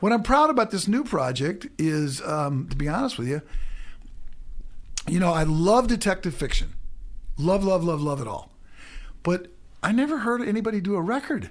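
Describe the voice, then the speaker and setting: Speaking with a Midwestern American accent, a man uses a high voice with very wide pitch swings and long, frequent pauses. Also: moderate pace. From US Midwest, St. Louis, Missouri. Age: 60s. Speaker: musician. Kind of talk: radio interview.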